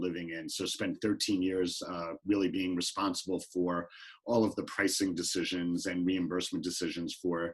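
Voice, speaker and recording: A man's very deep, low voice at a moderate pace, monotone and flat. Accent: New York. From New York. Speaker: healthcare executive. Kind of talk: panel talk. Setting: video call.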